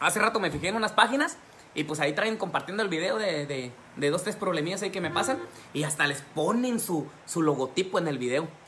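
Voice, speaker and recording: A man's high voice at a fairly quick pace over light background noise. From Mexico. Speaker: social media personality; comedy social media creator. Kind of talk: casual vlog talk; casual vlog chat. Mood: joking, boastful. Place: home room. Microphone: phone near.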